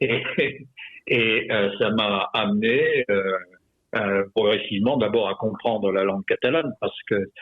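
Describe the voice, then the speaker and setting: Very slowly, a man speaks at a fairly low pitch. His intonation stays fairly even. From France, Perpignan area (Catalan roots), raised partly in Morocco/Algeria. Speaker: retired army general and author. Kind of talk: radio interview. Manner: halting, many hesitations.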